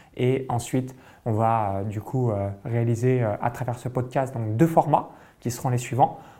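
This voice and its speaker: A man with a medium pitch and a dark, mellow tone speaks at a fairly slow pace with fairly even intonation. The recording is very clean, with a silent background. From France, Burgundy countryside. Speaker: entrepreneur and business coach, podcast co-host. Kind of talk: casual chat.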